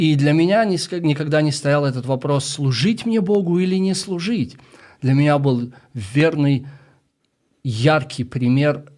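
Pausing long and often, a man speaks with a Russian accent at a fairly high pitch, his intonation lively. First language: Russian (speaking Ukrainian). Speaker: missionary, ministry leader. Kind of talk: radio interview. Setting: radio studio.

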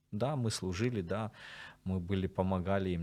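Very deep, low male voice with a dark, mellow tone, ordinary pitch variation and a moderate pace on a very clean recording with a silent background. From Sloviansk, eastern Ukraine. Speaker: military chaplain. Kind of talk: interview.

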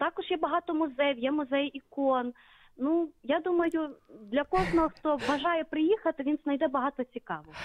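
A woman speaks with a high pitch, ordinary pitch variation and a moderate pace. The sound is dry and close, with no echo. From Lutsk, western Ukraine (Volyn). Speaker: caller, TV studio worker. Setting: phone call.

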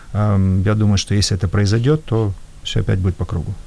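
Fairly low in pitch, a man talks at a fairly quick pace with a dark, mellow tone. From former Soviet Union. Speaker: entrepreneur. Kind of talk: panel discussion.

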